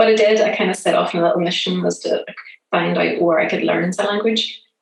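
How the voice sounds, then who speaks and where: A woman with a Northern Irish accent speaks at a very fast pace. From Northern Ireland, Belfast. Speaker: app founder. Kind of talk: interview. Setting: remote call.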